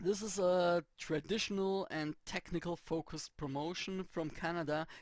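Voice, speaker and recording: At a moderate pace, the words carry a non-native accent. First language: not English. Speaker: let's play gamer. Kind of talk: gameplay commentary. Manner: halting.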